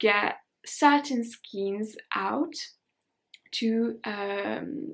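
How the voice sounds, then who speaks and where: A woman in a French accent speaks in a fairly high pitch. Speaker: knitting vlogger. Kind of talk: casual chat. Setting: home, candlelit room.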